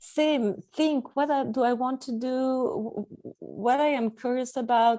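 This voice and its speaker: A woman's high-pitched, dark, mellow voice with a non-native accent, at a very slow pace with hardly any pauses, against a quiet background. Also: ordinary pitch variation. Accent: non-native English, audible. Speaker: expat coach and author. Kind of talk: interview. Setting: call.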